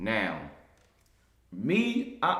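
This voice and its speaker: Audible room echo surrounds a man whose animated tone and lively intonation carry vocal fry. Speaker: rapper. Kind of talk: interview.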